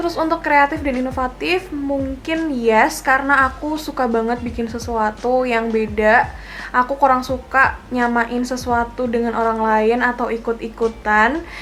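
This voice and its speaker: The speech is loud and delivered at a moderate pace with hardly any pauses and ordinary pitch variation, over noticeable background noise. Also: woman, high pitch for a woman. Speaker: beauty vlogger. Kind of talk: casual vlog talk to camera. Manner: loud laugh.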